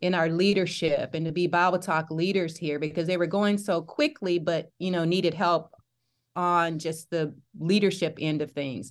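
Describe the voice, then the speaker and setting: Against a quiet background, a woman with a slight Southern US accent talks at a moderate pace in a fairly low pitch and monotone, flat intonation. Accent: Southern US, slight twang. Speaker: campus ministry leader. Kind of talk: casual interview chat.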